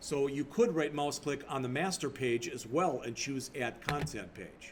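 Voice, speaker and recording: The speech runs at a fairly slow pace with ordinary pitch variation. Noticeable background noise sits behind it. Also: man, fairly high pitch for a man. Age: 60s. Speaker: college instructor. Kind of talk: lecture. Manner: casual, off the cuff.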